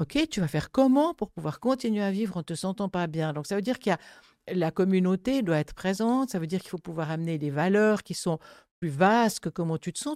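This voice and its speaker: A woman with a dark, mellow tone talks at a fairly quick pace with very wide pitch swings, in a very clean recording with a silent background and a dry, close sound with no echo. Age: 70s. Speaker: grief counsellor. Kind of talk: casual chat.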